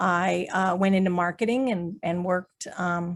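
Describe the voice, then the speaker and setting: A woman talks at a moderate pace with medium pitch and fairly even intonation. She has an ordinary speaking voice, and the recording is very clean with a silent background. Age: 60s. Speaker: artist and business owner. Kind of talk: panel discussion.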